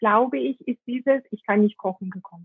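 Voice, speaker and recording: A woman speaks with lively intonation. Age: 40s. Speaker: Ayurveda cook and marketing professional. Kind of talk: interview conversation. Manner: hesitant with many fillers.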